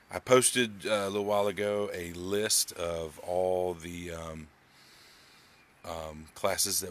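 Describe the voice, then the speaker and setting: A man's very deep, low voice with fairly even intonation over light background noise. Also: dry sound with no echo. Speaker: art teacher. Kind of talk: casual live-stream lesson intro. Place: home room. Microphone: phone near.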